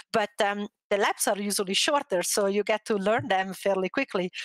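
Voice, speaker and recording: A woman with a slight Italian accent at medium pitch, moderate pace and ordinary pitch variation, in a dry, close sound with no echo. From Italy. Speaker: former motocross racer, gamer. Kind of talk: interview.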